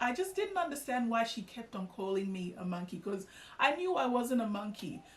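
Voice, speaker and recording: Noticeable background noise sits under a woman's voice. She talks at a moderate pace in a fairly high pitch, with very wide pitch swings. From Australia (Melbourne), born in Ghana. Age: 30s. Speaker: YouTuber. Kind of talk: personal vlog storytelling. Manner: casual with many fillers.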